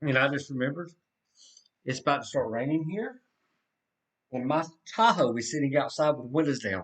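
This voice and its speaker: At a fairly quick pace yet with long, frequent pauses, a man with a fairly high pitch talks in a Southern US accent. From US South. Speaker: severe weather livestreamer. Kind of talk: live weather commentary. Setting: livestream. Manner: casual, self-correcting.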